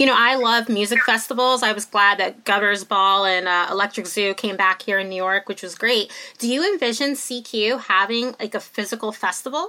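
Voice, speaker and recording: A woman's fairly high, bright, sharp voice at a fairly quick pace with hardly any pauses. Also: ordinary pitch variation. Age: 40s. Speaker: podcast host, magazine editor. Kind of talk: interview.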